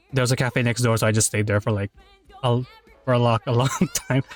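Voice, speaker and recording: Music plays behind a man who talks very fast at a medium pitch. The sound is dry and close with no echo. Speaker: streamer. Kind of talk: casual chat. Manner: animated.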